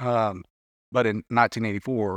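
A man's fairly quick, fairly evenly intoned speech in a Southern US accent, with a dry, close sound, no echo and a very clean, silent background. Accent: Southern US, country. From Arkansas. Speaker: fisheries policy director. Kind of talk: casual panel discussion.

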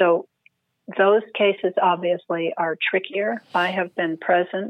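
A woman's unremarkable speaking voice with an American accent, fairly low in pitch, fairly slow, with ordinary pitch variation. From California. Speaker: Zen priest and hospice chaplain, author. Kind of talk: interview.

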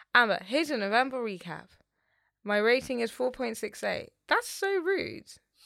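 Bright and sharp in tone, a woman speaks at a high pitch with a London accent. Her pitch swings very widely. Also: moderate pace. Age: 20s. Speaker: podcast co-host. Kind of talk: casual chat.

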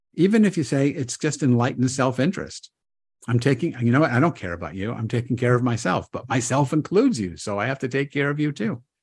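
Over a quiet background, a man talks at a very fast pace and a medium pitch. His voice is somewhat breathy, with lively intonation. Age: 70s. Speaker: rabbi and author. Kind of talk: interview conversation.

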